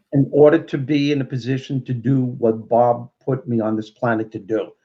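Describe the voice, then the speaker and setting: Speaking in a Brooklyn accent, a man uses a dark, mellow tone at a medium pitch, moderate pace and fairly even intonation. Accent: Brooklyn New York. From Brooklyn, New York. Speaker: motivational speaker and comedian. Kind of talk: interview.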